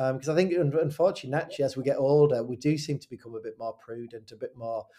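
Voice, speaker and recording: Fairly even intonation carries a dark, mellow tone throughout. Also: man. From Hartlepool, northeast England. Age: 40s. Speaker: primary school head teacher. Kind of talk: casual interview.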